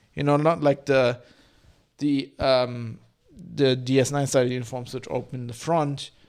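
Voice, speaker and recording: A man talks at a moderate pace in a medium pitch. The recording is very clean, with a silent background. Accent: non-native. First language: not English. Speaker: podcast host, TV reviewer. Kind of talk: casual solo commentary while watching. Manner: hesitant, many fillers.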